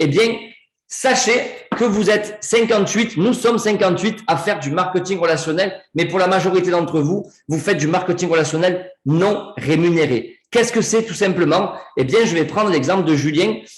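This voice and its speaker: Audible room echo surrounds a man with a high pitch. He speaks at a moderate pace with ordinary pitch variation. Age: 40s. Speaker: network marketing presenter. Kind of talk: sales pitch. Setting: video call. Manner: animated.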